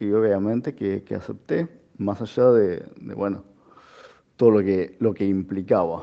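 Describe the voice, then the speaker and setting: Speaking in a Rioplatense accent, a man talks at a fairly slow pace. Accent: Argentine Spanish (rioplatense). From Argentina. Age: 40s. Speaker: foundation founder with diabetes. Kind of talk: interview testimony.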